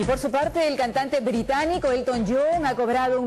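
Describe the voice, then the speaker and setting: Noticeable background noise runs under the speech. The pace is fairly quick. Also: woman. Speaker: TV news anchor. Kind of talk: TV news read.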